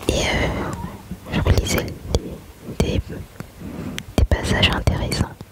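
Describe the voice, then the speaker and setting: Whispering at a very slow pace, a woman pauses long and often amid noticeable background noise. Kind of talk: ASMR whispered chat and Bible reading. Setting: home, with background noise and rain. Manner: soft, whispered.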